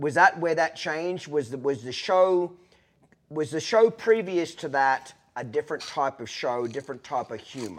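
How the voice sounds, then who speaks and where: An Australian accent marks this man's fairly high voice. He speaks at a moderate pace with lively intonation. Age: 40s. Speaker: podcast host. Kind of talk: casual chat. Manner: blunt, profane.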